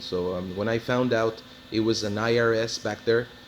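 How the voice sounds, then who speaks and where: A man talks at a medium pitch, with noticeable background noise present. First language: Spanish. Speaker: car hobbyist / mechanic. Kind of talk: casual video walkthrough. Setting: auto body shop. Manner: halting, many fillers.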